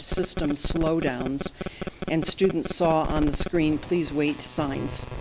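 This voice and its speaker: A soft-spoken woman's voice, very deep and low in pitch with ordinary pitch variation, over noticeable background noise. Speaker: company president addressing a school board. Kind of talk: formal presentation and apology to a board. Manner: quiet, soft-spoken. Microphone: too quiet.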